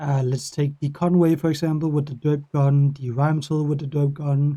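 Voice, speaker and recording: A man speaks with a Danish accent in a somewhat breathy, fairly high voice. His intonation is monotone and flat, and his pace is moderate. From Denmark. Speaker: gaming YouTuber. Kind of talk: casual talk to camera. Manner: halting; rambling.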